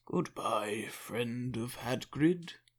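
A man's put-on character voice at a medium pitch. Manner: put-on, creepy.

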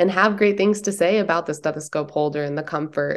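With an American accent, a woman talks at a fairly quick pace in a plain, everyday voice with ordinary pitch variation. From US Midwest, Detroit then San Diego. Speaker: nurse practitioner and apparel entrepreneur. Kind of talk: interview.

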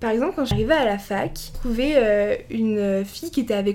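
Her voice is fairly high for a woman, and she speaks at a moderate pace. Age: 20s. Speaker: law student. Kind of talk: casual interview. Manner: hesitant, many fillers.

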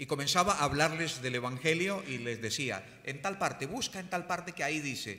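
Very fast and fairly high-pitched, a man's voice has a bright, sharp tone with vocal fry and very wide pitch swings. Audible room echo surrounds it. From Colombia. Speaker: pastor. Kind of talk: sermon.

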